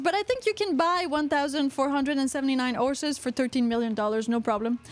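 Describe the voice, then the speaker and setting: A woman with a strong Quebec accent talks very fast in a high pitch with lively intonation. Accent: thick Quebecois. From Quebec, Canada. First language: French. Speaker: podcast host. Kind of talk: casual chat. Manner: animated.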